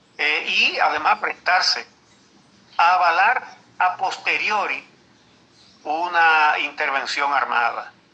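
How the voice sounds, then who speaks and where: A very slow delivery with long, frequent pauses, ordinary pitch variation, and noticeable background noise. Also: man, high pitch for a man. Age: 70s. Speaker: veteran journalist. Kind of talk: interview. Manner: halting.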